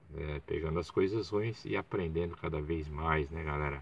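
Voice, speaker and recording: In a dry recording with no echo, a man with a very deep, low pitch speaks at a moderate pace. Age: 60s. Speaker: YouTuber, football fan channel host; small channel host. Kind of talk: casual live stream monologue. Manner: halting, many fillers. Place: car. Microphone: phone near.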